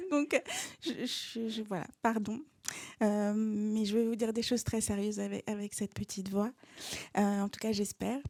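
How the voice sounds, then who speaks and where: A woman's fairly high pitch carries a dark, mellow tone. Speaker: author and screenwriter. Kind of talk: lecture. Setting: stage with audience. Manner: hesitant, many fillers.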